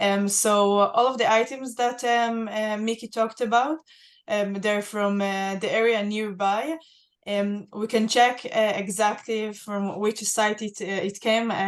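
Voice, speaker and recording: In an Israeli accent, a woman speaks fairly slowly at a fairly high pitch with fairly even intonation. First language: Hebrew. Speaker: museum access and inclusion head, archaeologist. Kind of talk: Q&A on a virtual guided tour. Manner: halting, many fillers.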